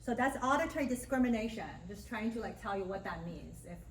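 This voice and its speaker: A woman talks at a fairly quick pace. Noticeable background noise and audible room echo fill the recording. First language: Mandarin Chinese. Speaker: speech language pathologist and university lecturer. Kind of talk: guest lecture. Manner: casual, conversational.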